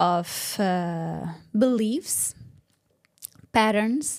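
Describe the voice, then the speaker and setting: The woman's voice sits at a medium pitch and shows ordinary pitch variation. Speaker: business mentor. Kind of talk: interview.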